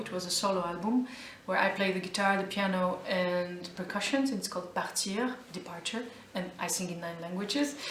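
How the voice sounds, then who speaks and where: Over noticeable background noise and audible room echo, a woman with an Albanian accent talks at a moderate pace with medium pitch and ordinary pitch variation. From Albania, then Geneva, Switzerland. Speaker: jazz vocalist. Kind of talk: interview. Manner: halting, with many fillers.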